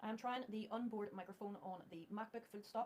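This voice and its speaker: Her voice is somewhat breathy, and this woman uses ordinary pitch variation. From Northern Ireland. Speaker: tech YouTuber. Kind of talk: tutorial. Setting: dictating to a laptop. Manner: slow, deliberate dictation with spoken punctuation. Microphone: external mic, then the laptop's built-in mic.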